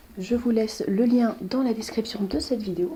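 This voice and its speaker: An unremarkable speaking voice from a woman, fairly high in pitch, with ordinary pitch variation. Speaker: urban exploration youtuber. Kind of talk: guided tour vlog. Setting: inside an abandoned manor. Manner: soft-spoken.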